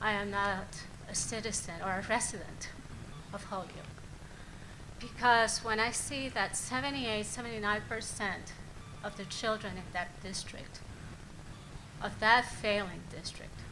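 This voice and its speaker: A woman with a Puerto Rican accent speaks at a fairly slow pace in a fairly high pitch, with ordinary pitch variation, big swings in loudness, and long, frequent pauses, in audible room echo. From Puerto Rico. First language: Spanish. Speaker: nonprofit CEO and education board member. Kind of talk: public board statement. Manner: formal.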